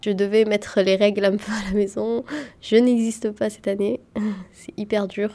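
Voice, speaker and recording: A woman speaks at a moderate pace in a medium-pitched voice with flat, monotone intonation. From Yemen. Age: 20s. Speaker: medical student. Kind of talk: interview. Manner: halting.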